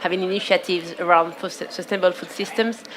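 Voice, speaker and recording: A woman with a French accent at a moderate pace, flat and monotone, over noticeable background noise. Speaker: panelist from a food systems organization. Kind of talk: panel discussion. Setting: outdoor conference stage.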